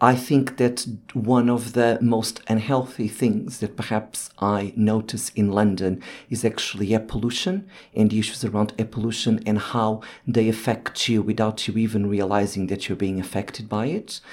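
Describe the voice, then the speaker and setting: At a moderate pace, a man with a Portuguese accent talks in a fairly even intonation. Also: medium pitch for a man. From Portugal (Lisbon). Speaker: urban planner. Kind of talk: panel discussion. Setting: studio.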